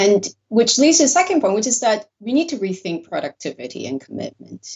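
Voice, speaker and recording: Vocal fry runs through this speech delivered with a Korean accent. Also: woman. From South Korea, with some childhood years in the US. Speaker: sociology professor. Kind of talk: interview.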